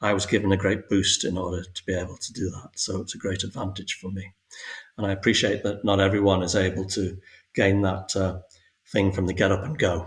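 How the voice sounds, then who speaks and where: A man speaks with a very deep, low pitch and a somewhat breathy quality. His intonation stays monotone and flat. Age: 60s. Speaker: spiritual guest sharing awakening story. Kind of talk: podcast interview. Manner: halting, many fillers and repetitions.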